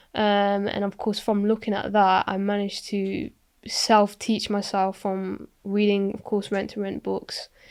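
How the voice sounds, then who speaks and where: Flat, monotone delivery in a West Midlands accent at a fairly slow pace, on a very clean recording with a silent background. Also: woman. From England, Coventry. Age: 20s. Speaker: property investor. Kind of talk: podcast interview. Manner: halting.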